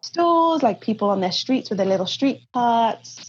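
Somewhat breathy woman with a Cardiff accent, lively intonation and a moderate pace. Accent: Welsh English (Cardiff). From Wales, Cardiff. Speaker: podcast guest, traveller. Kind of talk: interview.

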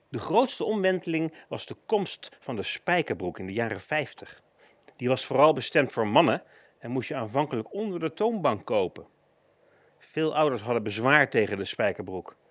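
A man talks at a moderate pace in a fairly high voice. His pitch swings very widely. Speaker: radio presenter. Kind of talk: scripted narration.

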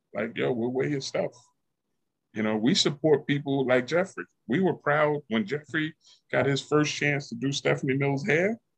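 In a New York accent, a man speaks at a moderate pace with a fairly high pitch and ordinary pitch variation, in a dry, close sound with no echo. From Yonkers, New York. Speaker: podcast guest. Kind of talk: casual chat.

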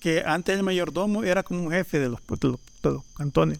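Delivered at a moderate pace with lively intonation, the speech comes through on a very clean recording with a silent background. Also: man. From El Salvador, Panchimalco. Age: 40s. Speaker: leather artisan. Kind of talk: casual chat.

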